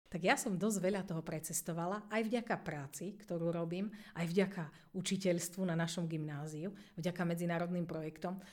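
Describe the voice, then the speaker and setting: At a moderate pace, a woman with a normal speaking voice talks in a fairly low pitch with fairly even intonation. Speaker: English teacher, deputy head. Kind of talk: interview.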